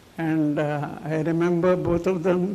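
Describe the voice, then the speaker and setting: With noticeable background noise behind him, a man speaks in a monotone, flat intonation. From India, Mumbai. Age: 80s+. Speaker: speaker at a memorial function. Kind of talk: tribute speech. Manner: halting.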